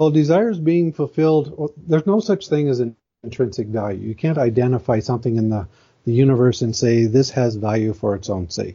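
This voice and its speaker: This man's voice is somewhat breathy and medium in pitch, and he talks at a fairly quick pace. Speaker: moral philosophy blogger. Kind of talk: interview. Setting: phone call.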